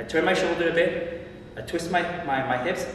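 A man's voice carries strong room echo over light background noise. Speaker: boxing instructor. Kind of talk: tutorial. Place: gym.

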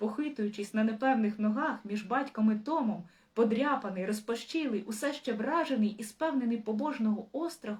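Pitch moves in an ordinary way through this natural reading voice.

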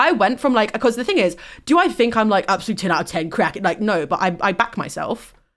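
Speaking very fast in a British accent, a woman with a fairly high pitch sounds animated, her intonation lively, on a very clean recording with a silent background. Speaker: livestreamer. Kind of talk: casual livestream chat turning to serious discussion. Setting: livestream with guest on call. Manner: nervous, a bit halting.

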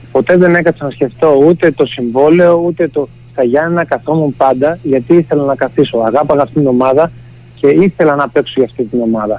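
At a moderate pace, an ordinary speaking voice carries on. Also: man. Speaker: football player, team captain. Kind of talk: radio interview. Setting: phone call.

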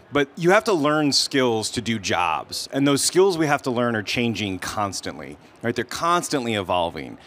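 Here a man talks at a fairly quick pace. His tone comes across bright and sharp. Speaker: panelist. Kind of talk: panel discussion answer. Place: stage. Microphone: handheld.

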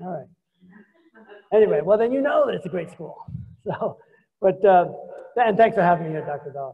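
With a New York accent, a man uses a high pitch and lively intonation, with big swings in loudness and long, frequent pauses. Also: fairly quick pace. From New York City (Queens). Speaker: business executive. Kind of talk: lecture. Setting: stage with audience.

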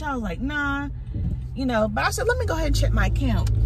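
A woman's voice comes through dry with no echo, with noticeable background noise. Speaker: mom vlogger. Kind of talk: casual vlog chat. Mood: upset, telling a stressful story. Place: car. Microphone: phone near.

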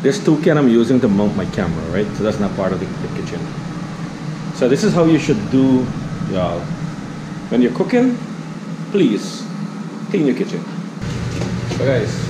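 There is noticeable background noise behind a man speaking at a moderate pace. He leaves long, frequent pauses. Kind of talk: casual cooking vlog chat. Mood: cheerful, chatty. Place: kitchen. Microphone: phone near.

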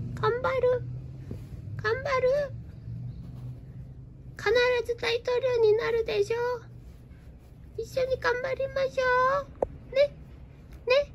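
A woman's cartoonish character voice at extremely high pitch, fairly slow with long, frequent pauses, over clear background noise. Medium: puppet show. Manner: shy, self-doubting when confessing.

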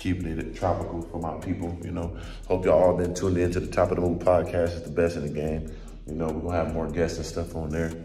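A man's very deep, low voice at a very fast pace, monotone and flat, with audible room echo and faint music in the background. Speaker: vlogger. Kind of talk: casual vlog chat. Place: home room. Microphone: phone near.

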